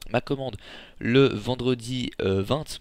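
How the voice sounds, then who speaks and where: The voice belongs to a man with a medium pitch. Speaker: gaming youtuber. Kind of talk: casual vlog talk to viewers. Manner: fast; hesitant with many fillers.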